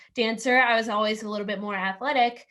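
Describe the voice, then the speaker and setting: Loud and energetic, a woman speaks with a bright, sharp tone and a fairly high pitch. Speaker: student athlete, volleyball player. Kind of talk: casual panel answer.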